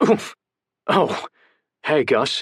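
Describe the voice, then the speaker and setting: A raspy, strained, fairly high put-on character voice. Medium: read story. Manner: proper, restrained.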